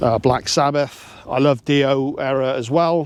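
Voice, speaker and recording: This man's intonation is fairly even. His voice sits at a medium pitch. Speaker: metal music YouTuber. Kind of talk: casual monologue to camera. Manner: casual, hesitant with repetitions.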